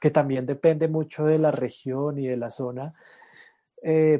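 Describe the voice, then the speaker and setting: A man's dark, mellow voice, fairly high in pitch, at a very slow pace. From Colombia, Cundinamarca highlands (La Calera near Bogotá). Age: 40s. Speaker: regenerative farmer and permaculturist. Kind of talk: interview. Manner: halting, many fillers.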